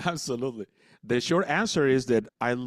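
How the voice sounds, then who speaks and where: Lively intonation from a man at medium pitch, dry and close with no echo, on a very clean recording with a silent background. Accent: Spanish. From El Salvador. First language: Spanish. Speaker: business coach and speaker. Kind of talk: radio interview. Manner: halting, repeats words.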